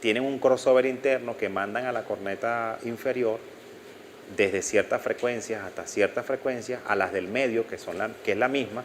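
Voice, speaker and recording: His pace stays moderate. The man's voice sits at a medium pitch. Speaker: audio instructor. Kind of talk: lecture. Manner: halting.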